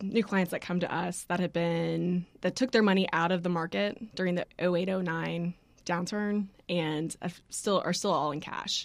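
A woman speaks with a fairly low pitch at a moderate pace. She has a plain, everyday voice with fairly even intonation. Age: 30s. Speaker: financial advisor. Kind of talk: interview.

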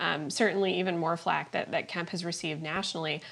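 The clip features a normal speaking voice. Pitch variation is ordinary. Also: woman. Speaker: political reporter. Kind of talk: political discussion. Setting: at home, remote.

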